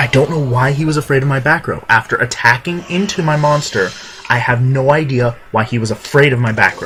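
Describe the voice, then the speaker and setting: A man's medium-pitched voice comes through with music playing behind it. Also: ordinary pitch variation. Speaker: video game commentator. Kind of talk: gameplay commentary. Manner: halting, self-correcting; casual, animated.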